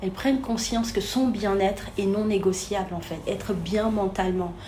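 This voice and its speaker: Room echo and noticeable background noise can be heard as a woman speaks at a moderate pace. Her pitch is medium, and her intonation is fairly even. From Senegal. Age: 30s. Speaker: therapist and coach. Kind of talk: interview.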